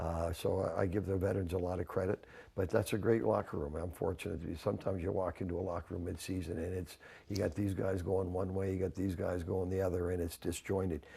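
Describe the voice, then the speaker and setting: A man with a Canadian accent talks at a very fast pace in a very deep, low pitch, his tone dark and mellow and somewhat breathy. His intonation is fairly even, and the recording is very clean with a silent background. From Canada. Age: 70s. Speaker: hockey coach. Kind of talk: sports interview. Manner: casual, repetitive restarts.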